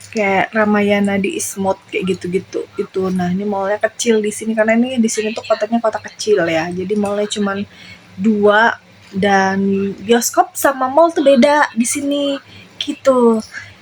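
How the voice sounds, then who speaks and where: A woman speaks at a moderate pace in a fairly high voice with ordinary pitch variation. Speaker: vlogger. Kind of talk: casual vlog talk. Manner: hesitant, many fillers.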